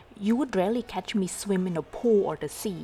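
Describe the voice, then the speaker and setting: Speaking at a moderate pace, a woman uses a medium pitch with ordinary pitch variation. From Vietnam. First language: Vietnamese. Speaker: travel vlogger. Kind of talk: vlog narration.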